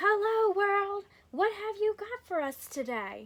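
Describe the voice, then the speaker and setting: A woman's squeaky, put-on character voice, extremely high in pitch, raised and projected, with lively intonation and a fairly slow pace. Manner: cheerful, booming.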